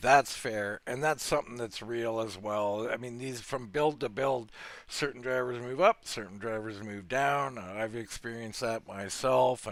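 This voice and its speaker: A man has a normal speaking voice at medium pitch, with fairly even intonation and a moderate pace. He hardly pauses, in a very clean recording with a silent background. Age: 50s. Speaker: sim racing commentator. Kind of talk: interview.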